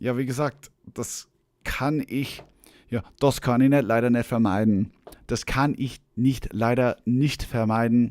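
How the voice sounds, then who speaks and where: Speaking fairly slowly, a man talks with an Austrian accent. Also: medium pitch for a man. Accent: Austrian accent when speaking German. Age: 40s. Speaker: musician. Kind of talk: live stream chat. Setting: online live stream. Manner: casual, animated.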